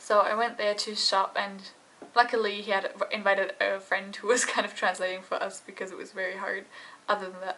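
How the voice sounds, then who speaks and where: Very fast speech comes through noticeable background noise. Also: woman. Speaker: vlogger. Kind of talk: casual vlog talk to camera.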